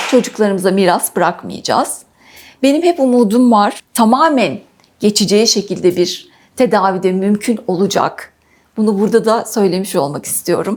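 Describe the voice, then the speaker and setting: A woman's plain, everyday voice at medium pitch, with lively intonation, very even loudness and a moderate pace. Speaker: patient sharing illness story. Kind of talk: interview testimony.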